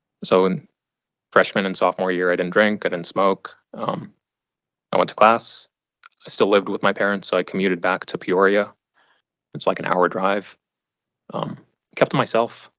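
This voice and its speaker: A man's fairly low voice with a Western US accent, fairly even intonation, moderate pace and long, frequent pauses, dry and close with no echo over a quiet background. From Arizona, Phoenix area (raised from age two). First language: not English (Afghan family language). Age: 30s. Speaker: trial witness. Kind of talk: courtroom testimony. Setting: courtroom. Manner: halting, repeats words.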